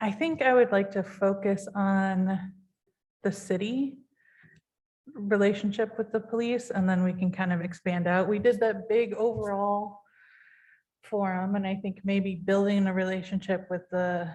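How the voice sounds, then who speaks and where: A woman speaks at a fairly slow pace with a medium pitch. Her intonation is fairly even and her voice somewhat breathy. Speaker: city commissioner. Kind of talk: public meeting discussion. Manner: hesitant, many fillers; shaky when passionate.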